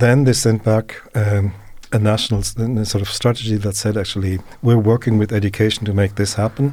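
A man with a German accent speaks in a monotone, flat way, his dark, mellow tone somewhat breathy. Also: fairly low pitch for a man, fairly quick pace. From Germany. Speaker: professor of early childhood education. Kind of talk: interview. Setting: studio. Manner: halting.

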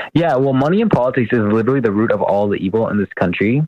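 Very fast speech from a man with an American accent, in a dry, close sound with no echo. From US Midwest, Ann Arbor, Michigan. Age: 20s. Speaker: political candidate and medical student. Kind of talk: interview.

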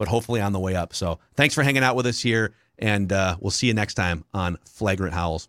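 In an American accent, a man talks at a fairly low pitch and a fairly quick pace, with ordinary pitch variation and an unremarkable speaking voice. The recording is very clean, with a silent background and a dry, close sound that has no echo. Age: 30s. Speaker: sports radio and podcast host. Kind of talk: casual sports chat.

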